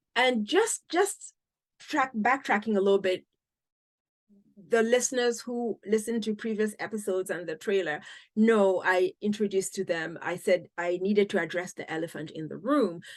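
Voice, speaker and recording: Someone with an African accent speaks at a moderate pace with ordinary pitch variation. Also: woman, medium pitch for a woman. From Cameroon. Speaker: podcast host. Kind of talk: interview.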